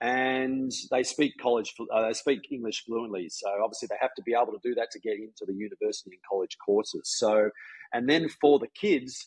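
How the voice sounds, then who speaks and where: In an Australian accent, a man talks fairly quickly with big swings in loudness, the sound dry and close with no echo. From Australia, Melbourne. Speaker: golf coach. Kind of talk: casual chat. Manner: halting.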